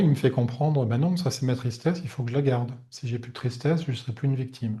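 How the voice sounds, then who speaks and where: Soft-spoken and somewhat breathy, a man speaks at a medium pitch with fairly even intonation against a quiet background. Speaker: energy healer. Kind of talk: webinar talk. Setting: online webinar. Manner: soft-spoken, calm; hesitant, many fillers.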